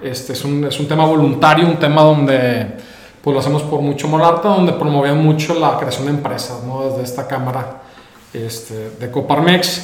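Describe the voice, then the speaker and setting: Noticeable background noise and audible room echo surround a man speaking at a moderate pace with a northern Mexican accent. His pitch is fairly high, with ordinary variation. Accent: northern Mexican Spanish (Monterrey). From Mexico, Monterrey. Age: 30s. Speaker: entrepreneur. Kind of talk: interview conversation.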